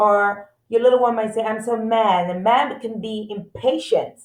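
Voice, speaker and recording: Her plain, everyday voice sits fairly high in pitch as the woman keeps a fairly even intonation. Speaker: school support staff for parents. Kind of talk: presentation for parents.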